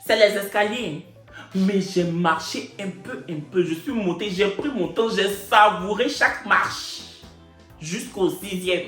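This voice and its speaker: A man's high-pitched, animated voice with an Ivorian accent, music playing in the background. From Ivory Coast. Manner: animated storytelling.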